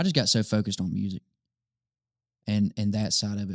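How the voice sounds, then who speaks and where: A man speaks with a Southern US accent at a fairly low pitch. The sound is dry and close, with no echo. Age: 20s. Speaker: worship leader and songwriter. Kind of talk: casual chat.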